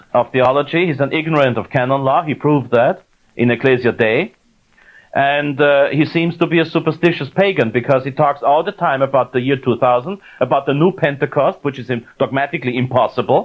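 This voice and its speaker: Speaking with a German accent, this man has a fairly high pitch and ordinary pitch variation. He talks at a fairly quick pace. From Austria. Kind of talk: lecture; Q&A answer. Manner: halting, many fillers.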